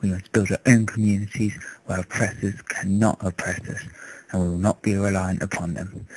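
A man with an English accent speaks at a fairly low pitch with monotone, flat intonation. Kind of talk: political speech to camera. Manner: impassioned.

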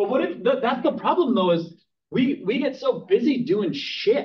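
Over light background noise, a man with an American accent speaks at a moderate pace. His voice is extremely high and swings very widely in pitch. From Minnesota. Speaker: real estate team leader. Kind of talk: training class. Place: classroom.

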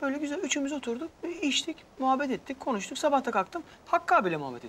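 In a put-on character voice, a man talks at a very fast pace, extremely high in pitch, with big pitch swings and a fairly bright tone.

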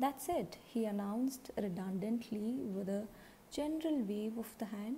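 Words are read out plainly. Nothing more than plain reading aloud.

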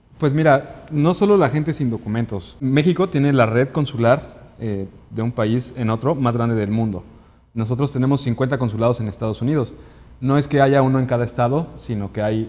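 A man's pitch variation is ordinary as he talks at a moderate pace. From Mexico City. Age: 30s. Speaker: consular official; guest. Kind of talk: interview; interview answer. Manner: halting, frequent repetitions. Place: studio.

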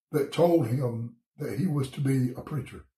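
In a Southern US accent, a man talks very slowly in a fairly high, somewhat breathy voice, with audible room echo and a quiet background. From US South, Georgia. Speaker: pastor. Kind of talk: bible study devotion. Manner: casual, conversational. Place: home room. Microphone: phone near.

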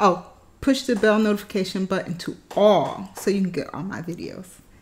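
A somewhat breathy woman at a moderate pace. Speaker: food challenge vlogger. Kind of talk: casual vlog chat. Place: home room. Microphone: phone near.

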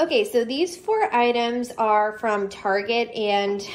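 There is light background noise as a woman talks. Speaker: home decor vlogger, teacher. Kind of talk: casual haul vlog chat. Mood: upbeat, chatty. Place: home room. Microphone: phone near.

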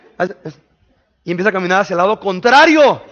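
Loud and animated, a man speaks at a very fast pace. His pitch swings very widely. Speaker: pastor. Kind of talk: sermon. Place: church. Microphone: headset.

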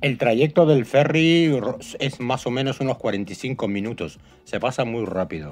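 Over music in the background, a man talks at a moderate pace and medium pitch with lively intonation. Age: 50s. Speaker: travel vlogger. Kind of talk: travel vlog narration.

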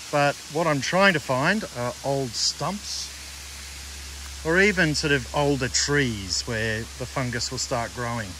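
Noticeable background noise behind a man's dry voice, with no echo. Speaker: nature photographer vlogger. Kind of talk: casual vlog chat. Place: forest. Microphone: phone near.

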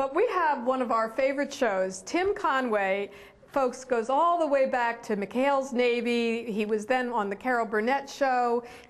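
Speaking at a fairly slow pace, a woman with an American accent has a high pitch, ordinary pitch variation and very even loudness. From Philadelphia, US. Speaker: performing arts hall executive director. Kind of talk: casual promotional chat. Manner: animated.

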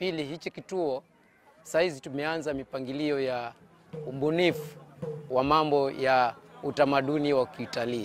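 Music plays in the background as a man speaks. His moderate pace comes through in a dry sound with no echo. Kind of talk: interview answer. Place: open country. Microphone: lapel.

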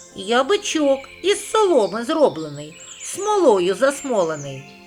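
Over clear music in the background, a man does a put-on character voice at an extremely high pitch, with very wide pitch swings and a fairly slow pace. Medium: read story.

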